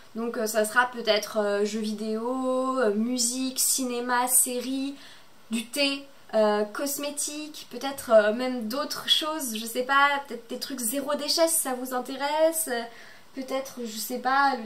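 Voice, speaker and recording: A woman with a high pitch talks very slowly, with fairly even intonation and big swings in loudness. Noticeable background noise and audible room echo surround her voice. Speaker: booktuber. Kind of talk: casual chat. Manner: hesitant, many filler words.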